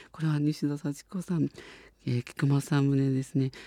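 A man's fairly high voice with a dark, mellow tone and monotone, flat intonation, in a dry, close sound with no echo on a very clean recording with a silent background. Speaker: radio host. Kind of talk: radio show talk.

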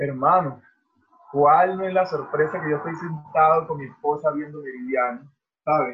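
A man with a plain, everyday voice speaks at a fairly high pitch and a moderate pace. His loudness swings widely. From Venezuela, Barinas. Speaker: professional volleyball player. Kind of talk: casual interview.

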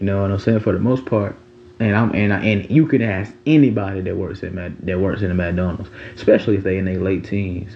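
A fairly low-pitched man speaks rather fast, his intonation normal, with noticeable noise behind him. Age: 20s. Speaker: podcast host. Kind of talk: casual monologue. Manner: animated.

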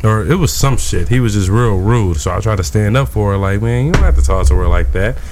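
A man with an American accent talks at a very fast pace, his pitch swinging very widely. Music plays in the background. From US Midwest. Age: 20s. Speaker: rapper. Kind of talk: casual chat. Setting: studio.

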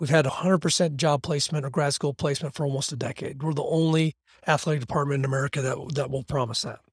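The speech comes very fast and somewhat breathy, with a dry, close sound and no echo. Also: man. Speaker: athletics director. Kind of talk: casual interview conversation. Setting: podcast interview. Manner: animated.

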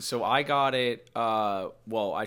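On a very clean recording with a silent background, a man with an American accent and a fairly low pitch uses an ordinary speaking voice with ordinary pitch variation. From Connecticut. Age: 20s. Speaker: musician. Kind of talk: casual chat.

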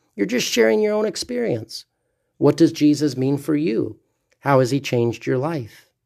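Man with an American accent, dark, mellow tone and fairly high pitch, lively intonation at a fairly quick pace, in a very clean recording with a silent background. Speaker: pastor. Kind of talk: sermon.

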